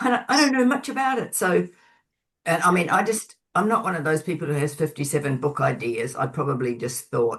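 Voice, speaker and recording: Somewhat breathy woman's voice, very deep and low in pitch, with very wide pitch swings. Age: 70s. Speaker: author and Buddhist practitioner. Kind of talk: webinar interview.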